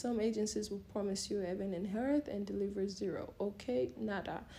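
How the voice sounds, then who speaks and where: Somewhat breathy, a woman speaks in a dark, mellow tone with ordinary pitch variation. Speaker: model and vlogger. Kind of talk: casual advice talk. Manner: fast.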